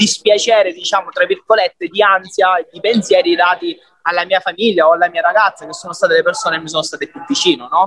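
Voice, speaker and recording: Recorded with a dry, close sound and no echo, a man speaks in a high pitch. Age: 20s. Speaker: gym member who lost weight. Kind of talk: interview.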